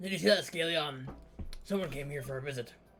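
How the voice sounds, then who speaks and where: With music in the background, a man puts on a raspy character voice with a fairly high pitch and ordinary pitch variation. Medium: game stream. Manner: solemn, storytelling.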